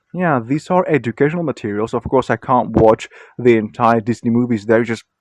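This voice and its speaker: With a non-native accent, a man speaks at a fairly quick pace in a dry, close recording with no echo and a quiet background. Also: medium pitch for a man, ordinary pitch variation. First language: not English. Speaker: video blogger. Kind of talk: casual monologue. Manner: hesitant, many fillers.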